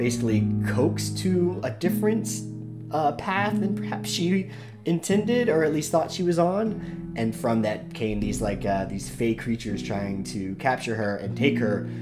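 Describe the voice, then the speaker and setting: Clear music sounds behind the voice. The man keeps a moderate tempo. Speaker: show host. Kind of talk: casual podcast chat. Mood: laughing, relaxed. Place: home room.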